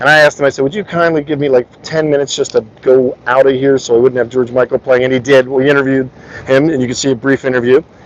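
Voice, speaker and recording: A man at a very fast pace in a monotone, flat delivery, with noticeable background noise. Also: medium pitch for a man. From US Northeast, South Jersey. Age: 50s. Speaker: livestreamer. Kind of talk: casual interview livestream.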